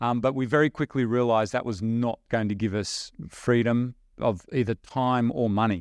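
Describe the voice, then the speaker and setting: A man with an Australian accent at a medium pitch, dry and close with no echo, over a quiet background. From rural Australia. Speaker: online business investor. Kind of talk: podcast interview. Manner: animated.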